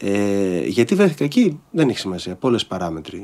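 At a medium speed, a man talks. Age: 50s. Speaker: stage and screen actor; screen actor. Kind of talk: casual chat. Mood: reflective. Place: studio. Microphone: studio mic.

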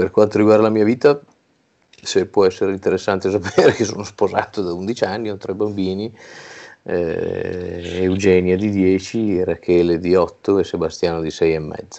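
Against a quiet background, a man speaks with a very deep, low pitch. His pace is fairly slow and his intonation fairly even. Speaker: regional rugby federation president and winemaker. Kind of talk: interview. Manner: hesitant, many fillers. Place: home room. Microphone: earbuds.

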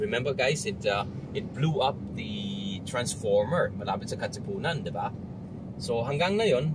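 Loud noise sits behind a man talking at a moderate pace. The sound itself is dry with no echo. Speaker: vlogger. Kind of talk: casual vlog chat. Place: car. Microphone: phone near.

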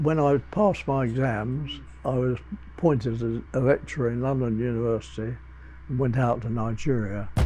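A man with an English accent speaks at a moderate pace, his pitch varying in an ordinary way. Faint music plays in the background. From England. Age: 90s. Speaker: zoologist. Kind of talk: interview. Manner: halting. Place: home room. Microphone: lapel.

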